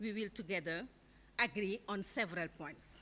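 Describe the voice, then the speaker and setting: A woman talks with a non-native accent. Her tone is bright and sharp. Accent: non-native accent, self-noted. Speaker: keynote speaker, international education official. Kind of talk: keynote speech.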